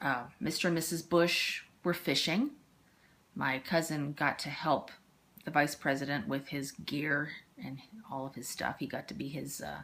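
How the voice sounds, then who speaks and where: Speaking in an American accent, a woman has a very deep, low pitch with ordinary variation, big swings in loudness, and long, frequent pauses. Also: moderate pace. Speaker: interviewee, parent of the interviewer. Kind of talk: casual family interview, storytelling. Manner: halting, with fillers.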